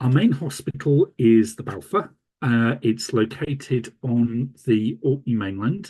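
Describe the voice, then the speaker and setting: A man with a Yorkshire accent speaks fairly slowly at a medium pitch, somewhat breathy and dark, mellow in tone, with ordinary pitch variation and very even loudness. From Yorkshire, England. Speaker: radiographer and hospital manager. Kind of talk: conference presentation. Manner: hesitant, many fillers.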